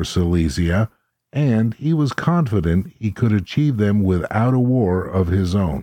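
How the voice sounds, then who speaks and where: In a normal speaking voice, a man talks at a fairly slow pace. His intonation is lively. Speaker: podcast co-host. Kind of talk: casual podcast discussion, reading book summary aloud.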